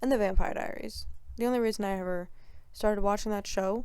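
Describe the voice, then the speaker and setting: A dark, mellow tone with fairly even intonation and audible room echo. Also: woman. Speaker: solo podcaster. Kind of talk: casual solo podcast chat. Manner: casual, filler-heavy.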